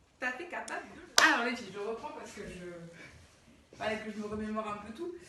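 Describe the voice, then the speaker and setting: Against audible room echo, a woman speaks at a moderate pace with a fairly high pitch and lively intonation. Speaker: dance teacher. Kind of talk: tutorial.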